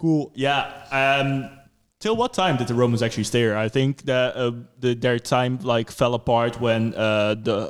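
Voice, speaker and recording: A man with a Dutch accent speaks at a moderate pace. His medium-pitched voice keeps a fairly even intonation. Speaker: podcast host. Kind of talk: casual chat. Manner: hesitant, filler-heavy.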